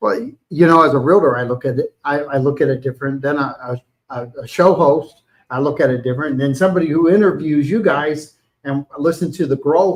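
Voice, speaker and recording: Here a man talks with a fairly high pitch. He moves at a fairly quick pace with ordinary pitch variation. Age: 60s. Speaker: realtor and live-stream host. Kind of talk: casual interview chat. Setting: live stream from a restaurant. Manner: halting, many repeated words.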